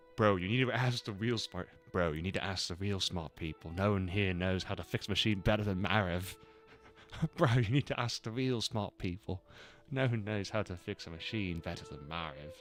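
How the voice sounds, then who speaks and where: Music plays in the background. A man talks at a fairly quick pace with a fairly low pitch. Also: ordinary pitch variation. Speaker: video game streamer. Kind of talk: casual gaming stream commentary, reading game lines aloud. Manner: animated.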